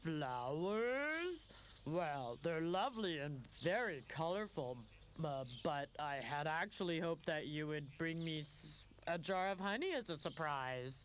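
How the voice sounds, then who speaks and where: Putting on a character voice, a man speaks fairly slowly at a fairly high pitch with a rumbling quality. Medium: cartoon. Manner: grumbling, doubtful.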